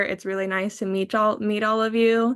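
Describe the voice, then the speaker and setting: Against a quiet background, a woman talks at a moderate pace with flat, monotone intonation. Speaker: nonprofit staff member. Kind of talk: panel discussion.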